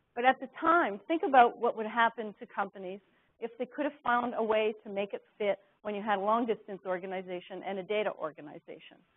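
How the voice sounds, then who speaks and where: A woman speaks in a plain, everyday voice at a fairly high pitch with ordinary pitch variation. Her pace is fairly quick. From Canada. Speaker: business executive and author. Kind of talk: corporate presentation.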